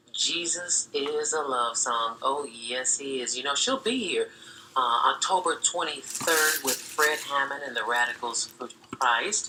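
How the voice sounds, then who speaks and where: Speech comes at a fairly slow pace with ordinary pitch variation. Noticeable background noise is present throughout. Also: woman, very deep, low pitch for a woman. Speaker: radio DJ. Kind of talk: radio DJ talk, gospel station.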